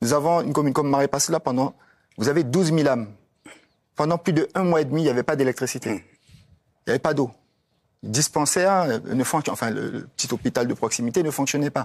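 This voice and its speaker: Speech comes at a very fast pace, with a dry, close sound and no echo. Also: man, fairly high pitch for a man, ordinary pitch variation. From French Guiana. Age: 60s. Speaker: politician. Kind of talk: TV panel debate. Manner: animated.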